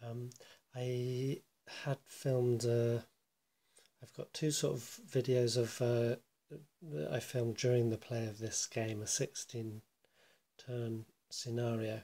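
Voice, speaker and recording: Speech comes quietly and at a very slow pace. Long pauses break it up often. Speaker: board game player. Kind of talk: casual video commentary. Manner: quiet, hushed; halting, many fillers.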